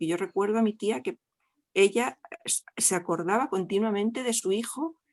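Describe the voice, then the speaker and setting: Dry and close with no echo, a woman's medium-pitched voice moves at a moderate pace with ordinary pitch variation. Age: 60s. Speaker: audience member. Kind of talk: testimony. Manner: halting.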